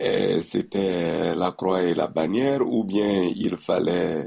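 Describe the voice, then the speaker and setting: A man is heard with noticeable background noise. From Burkina Faso. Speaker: person living with HIV. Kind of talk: testimony.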